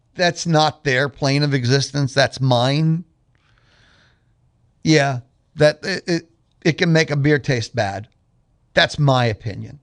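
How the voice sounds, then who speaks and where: Speaking very slowly with long, frequent pauses, a man with a fairly high pitch and ordinary pitch variation is heard in a dry, close recording with no echo and a quiet background. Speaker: radio host. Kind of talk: radio talk show monologue. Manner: loud.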